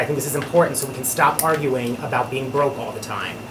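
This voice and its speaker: A man with an American accent talking at a very fast pace, with audible room echo and noticeable background noise. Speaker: town board member. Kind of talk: public meeting remarks. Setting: town board meeting.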